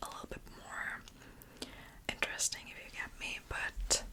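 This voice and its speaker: Someone whispers at a moderate pace. Noticeable background noise runs underneath. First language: German. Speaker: ASMR youtuber. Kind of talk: whisper ramble. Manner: whispering; halting.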